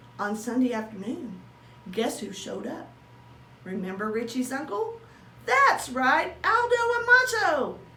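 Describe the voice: Amid audible room echo, a cartoonish character voice with a bright, sharp tone moves at a fairly slow pace with lively intonation. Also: woman, high pitch for a woman.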